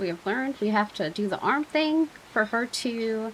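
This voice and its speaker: A woman shouts and mumbles with vocal fry, her fairly high pitch making very wide swings. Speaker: gaming YouTuber. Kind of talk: let's play commentary. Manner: mumbling then shouting; casual, filler-heavy.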